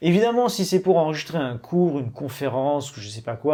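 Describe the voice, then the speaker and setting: A man speaks at a fairly quick pace in a dark, mellow tone with ordinary pitch variation, on a very clean recording with a silent background. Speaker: tech reviewer youtuber. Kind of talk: product review tutorial. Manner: casual, many hesitations.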